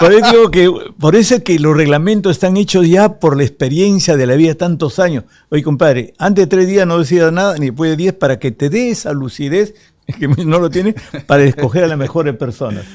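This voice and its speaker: With lively intonation, a man talks at a high pitch and a fairly quick pace. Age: 70s. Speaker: politician. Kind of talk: interview.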